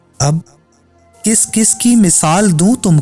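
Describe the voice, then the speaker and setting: A man is speaking. Music plays in the background. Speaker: poetry reciter. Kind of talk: poetry reading.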